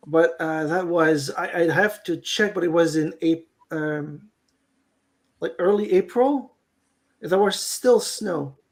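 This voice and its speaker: This speaker has a Quebec accent. The pace is very slow. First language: French. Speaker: beekeeper. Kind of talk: casual chat. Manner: halting.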